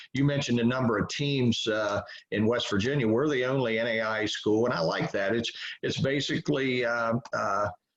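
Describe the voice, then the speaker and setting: The man has an unremarkable speaking voice, with medium pitch, ordinary pitch variation, very even loudness and a moderate pace. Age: 60s. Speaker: college baseball head coach. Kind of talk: interview.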